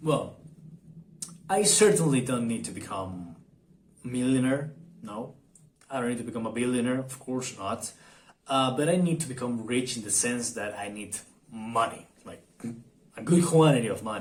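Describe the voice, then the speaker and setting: The voice moves at a moderate pace with lively intonation and big swings in loudness, broken by long, frequent pauses. Room echo is audible. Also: man, medium pitch for a man. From Argentina. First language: Spanish. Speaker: vlogger. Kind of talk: casual vlog monologue. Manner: halting, many fillers and repetitions.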